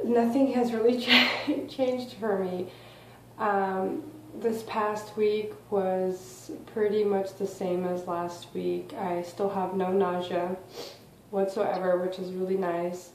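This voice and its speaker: In a room with audible echo and noticeable background noise, a woman speaks at a very slow pace, with a medium pitch and ordinary pitch variation. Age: 20s. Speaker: vlogger. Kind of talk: casual vlog. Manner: quiet.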